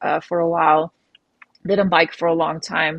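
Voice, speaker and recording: A woman talks with a Dutch accent at a moderate pace and fairly even intonation. The sound is dry and close with no echo. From Netherlands. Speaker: professional mountain biker. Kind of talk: interview. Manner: hesitant, with fillers.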